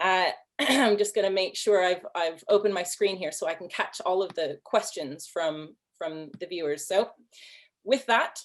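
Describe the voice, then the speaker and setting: The pitch moves in an ordinary way. The accent is American. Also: woman, medium pitch for a woman, moderate pace. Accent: sounds Canadian to others. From US Pacific Northwest (Seattle). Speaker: panel moderator. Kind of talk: panel moderation.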